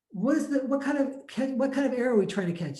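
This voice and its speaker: A man with a dark, mellow tone speaks with lively intonation. Audible echo fills the room. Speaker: math and programming teacher. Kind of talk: lecture. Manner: fast; halting.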